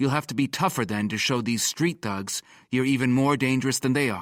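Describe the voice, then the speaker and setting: A man growls in a put-on character voice at a medium pitch, with ordinary pitch variation and a fairly quick pace. The recording is very clean and dry, close with no echo, over a silent background. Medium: read story. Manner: imperious, dismissive.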